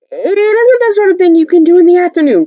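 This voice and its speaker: In a squeaky, put-on character voice at an extremely high pitch, a woman talks at a very fast pace with ordinary pitch variation, the sound dry and close with no echo. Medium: read story.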